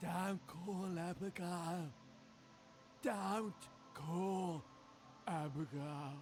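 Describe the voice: A put-on character voice at middle pitch moves at a very slow pace with long, frequent pauses. Background noise is clearly audible.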